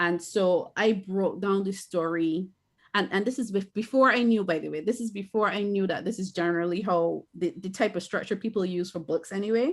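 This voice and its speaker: A woman speaks with a Barbadian accent at a fairly quick pace. Her pitch is medium, with ordinary pitch variation. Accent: Barbadian (Bajan). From Barbados. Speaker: author and filmmaker. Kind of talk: interview.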